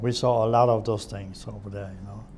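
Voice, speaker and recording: In a room with audible echo, a man speaks at a medium pitch with monotone, flat intonation. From Germany (Hamburg area). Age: 70s. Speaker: war eyewitness. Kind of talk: oral history interview.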